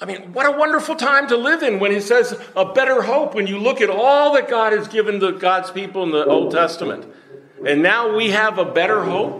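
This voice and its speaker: A man's high-pitched voice, lively in intonation and fairly quick, against noticeable background noise. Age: 70s. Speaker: preacher. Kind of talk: sermon. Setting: church.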